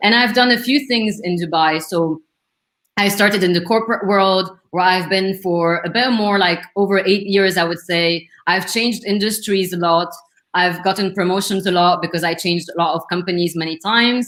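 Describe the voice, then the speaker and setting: Medium-pitched woman's voice with a strong French accent, fairly even intonation and a moderate pace. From Lebanon. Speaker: career coach. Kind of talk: interview. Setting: live stream video call.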